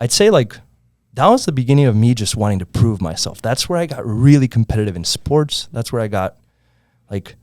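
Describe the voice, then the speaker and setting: On a very clean recording with a silent background, a man at medium pitch talks at a fairly quick pace with lively intonation. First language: Spanish. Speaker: entrepreneur. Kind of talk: casual podcast storytelling.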